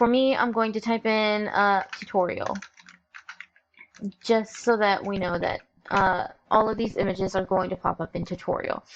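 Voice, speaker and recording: At a moderate pace, a woman talks with long, frequent pauses. Her pitch is fairly high and her intonation fairly even. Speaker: visual novel software tutorial creator. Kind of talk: screen-recorded tutorial. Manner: hesitant, many fillers. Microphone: troublesome mic, recording issues.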